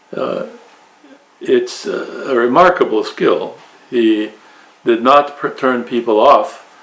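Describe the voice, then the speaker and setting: A man speaks at a fairly slow pace with long, frequent pauses. Noticeable background noise can be heard. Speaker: Orthodox priest. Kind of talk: interview. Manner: halting.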